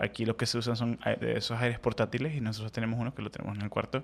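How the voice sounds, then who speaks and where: The speaker is a man with a mid-range pitch. He delivers his words in a flat, monotone way. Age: 30s. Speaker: podcast co-host. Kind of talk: casual chat; sermon.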